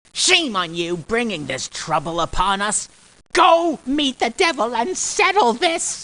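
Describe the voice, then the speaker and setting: A put-on character voice with fairly high pitch swings very widely in pitch while speaking at a fairly slow pace. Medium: audio drama.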